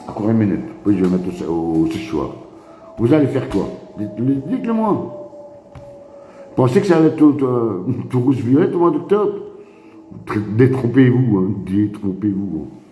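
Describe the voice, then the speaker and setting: An animated man talks with very wide pitch swings, big swings in loudness and long, frequent pauses. Audible room echo and noticeable background noise fill the recording. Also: medium pitch for a man, moderate pace. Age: 60s. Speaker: activist live streamer. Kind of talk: casual live stream monologue. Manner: repetitive, animated.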